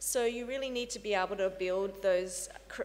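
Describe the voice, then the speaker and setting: With an Australian accent, a woman speaks at a fairly slow pace and with fairly even intonation, with audible room echo around her. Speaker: research facility director. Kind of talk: conference talk. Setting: conference panel. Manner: hesitant with fillers.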